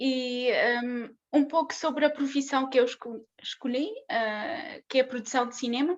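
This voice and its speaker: A woman with a non-native accent and a high pitch speaks at a fairly slow pace with fairly even intonation. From southern Russia (Maikop), moved to Portugal at 13-14. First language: Russian (speaking Portuguese). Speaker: conference speaker, film production graduate. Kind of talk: conference talk. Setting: online conference. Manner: halting, many fillers and false starts.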